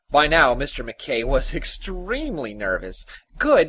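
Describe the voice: The clip is a plain reading aloud.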